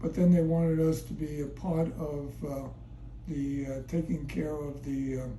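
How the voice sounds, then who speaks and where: A man speaks at a fairly slow pace. Noticeable background noise runs beneath him. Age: 80s+. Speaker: retired fitness center owner and marathon runner. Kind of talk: interview answer.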